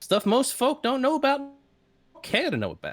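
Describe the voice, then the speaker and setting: A drawling, female-sounding put-on character voice on a very clean recording with a silent background. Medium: actual play. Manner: hesitant, stammering, folksy drawl.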